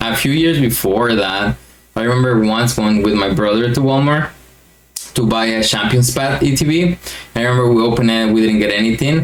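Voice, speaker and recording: Over noticeable background noise, a man with a Mexican accent speaks at a moderate pace with a medium pitch and ordinary pitch variation. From Mexico. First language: Spanish. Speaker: YouTuber, card collector. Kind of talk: casual vlog monologue. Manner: hesitant with fillers.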